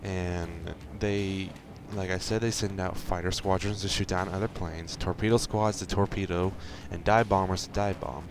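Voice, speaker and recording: A man speaks quietly at a moderate pace with a very deep, low pitch. His intonation is monotone and flat. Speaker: gaming video creator. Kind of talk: gameplay commentary. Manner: quiet, held back; casual, rambling.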